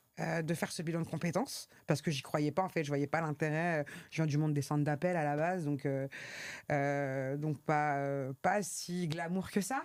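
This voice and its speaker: On a very clean recording with a silent background, a woman speaks at a moderate pace in a very deep, low pitch, her intonation fairly even. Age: 40s. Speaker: trainer and consultant, single mother. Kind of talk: interview. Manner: hesitant, many fillers.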